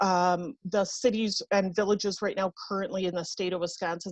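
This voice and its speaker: A woman's normal speaking voice at medium pitch, with a dry, close sound and no echo. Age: 40s. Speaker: nonprofit outreach presenter. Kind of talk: presentation at a public meeting.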